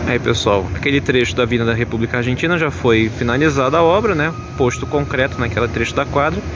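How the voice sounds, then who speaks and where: A man's fairly quick speech, dry with no echo, over noticeable background noise. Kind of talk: commentary. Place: street. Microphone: phone near.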